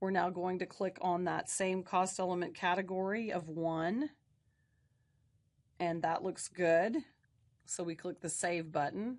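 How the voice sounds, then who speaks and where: A woman's medium-pitched voice with ordinary pitch variation, fairly slow and full of long, frequent pauses, against a quiet background. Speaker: instructor. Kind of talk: tutorial.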